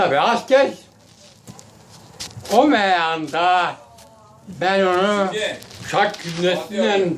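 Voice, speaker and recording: Amid noticeable background noise, a man with a high pitch speaks at a very slow pace with long, frequent pauses. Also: ordinary pitch variation. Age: 80s+. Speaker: former wrestler. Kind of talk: storytelling to family. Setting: outdoors.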